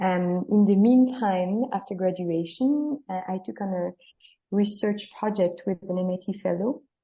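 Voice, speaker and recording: A woman speaks with a French accent at a fairly slow pace. Her voice is somewhat breathy, with ordinary pitch variation. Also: medium pitch for a woman. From France. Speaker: startup co-founder. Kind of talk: interview.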